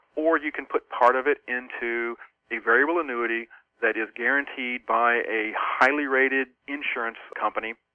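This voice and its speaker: He has a plain, everyday voice. The man's intonation is fairly even, and his pace is moderate. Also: medium pitch for a man. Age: 40s. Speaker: financial columnist and author. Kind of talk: interview.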